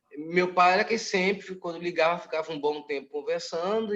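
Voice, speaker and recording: A high-pitched man talks at a fairly quick pace with fairly even intonation. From Brazil. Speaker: spiritist study group member. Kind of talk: group study discussion.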